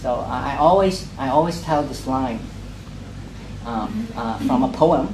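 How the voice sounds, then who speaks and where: This man, with a Cantonese accent, talks at a medium pitch with ordinary pitch variation, over noticeable background noise and audible room echo. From Hong Kong, grew up in Sheung Shui. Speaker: poet. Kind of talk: casual talk to a reading group. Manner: halting, many fillers and repetitions.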